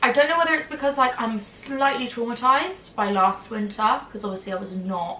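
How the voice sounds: A woman speaks at a moderate pace with a fairly high pitch, a fairly bright tone and ordinary pitch variation, with audible room echo around her.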